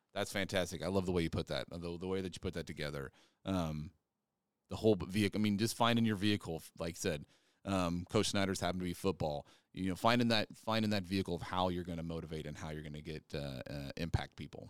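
A man with a Midwestern American accent speaks very fast in a very deep, low voice with ordinary pitch variation, on a very clean recording with a silent background. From north central Kansas. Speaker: podcast host, health educator. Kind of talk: casual interview conversation.

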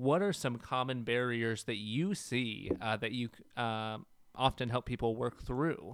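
A plain, everyday voice from a man at medium pitch, fairly slow in pace, with ordinary pitch variation. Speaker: co-host, engagement specialist. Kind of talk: podcast interview discussion.

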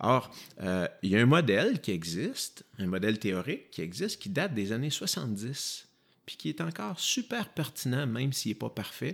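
Moving at a moderate pace, a man speaks at a medium pitch with very wide pitch swings. The recording is very clean, the background silent. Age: 40s. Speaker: physiotherapist. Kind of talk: interview.

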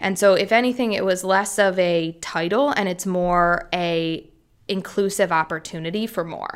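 In an American accent, a plain, everyday voice speaks at a moderate pace with fairly even intonation on a very clean recording with a silent background. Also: woman, medium pitch for a woman. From US, Philadelphia. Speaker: music tech investor. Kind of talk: interview.

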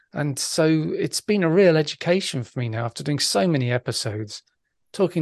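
The background is quiet and the sound dry and close, with no echo. A man with a normal speaking voice talks fairly quickly, his intonation lively. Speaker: podcaster and bass player. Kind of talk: casual interview.

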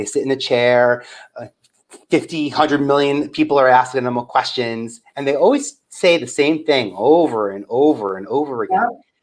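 An ordinary speaking voice with an American accent shows ordinary pitch variation and big swings in loudness. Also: man, fairly high pitch for a man, moderate pace. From New York, Staten Island. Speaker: media producer and talent developer. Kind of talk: interview.

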